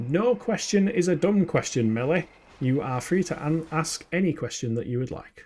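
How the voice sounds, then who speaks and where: Lively intonation marks this man's Yorkshire accent. He talks at a moderate pace with a fairly high pitch. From Yorkshire, northern England. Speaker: video game streamer. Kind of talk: live gameplay stream chat. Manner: animated.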